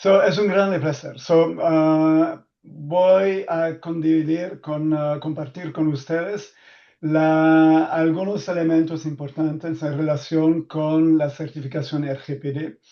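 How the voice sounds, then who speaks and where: A man with a non-native accent speaks at a very slow pace in a dark, mellow tone. His intonation is monotone and flat over a quiet background. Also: fairly high pitch for a man, hardly any pauses. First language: not Spanish (speaking Spanish). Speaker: data protection expert. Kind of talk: webinar presentation. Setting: online webinar. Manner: halting, many fillers.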